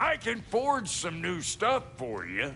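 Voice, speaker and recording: A man puts on a drawling character voice at a high pitch. He speaks fairly slowly over clear background noise. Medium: video game. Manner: folksy, drawling, crude.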